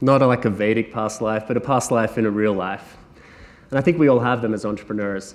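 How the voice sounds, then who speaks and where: A man talks at a very fast pace with an Australian accent. His pitch sits in the middle and his intonation stays fairly even. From Australia, Sunshine Coast. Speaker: entrepreneur speaker. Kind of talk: conference talk.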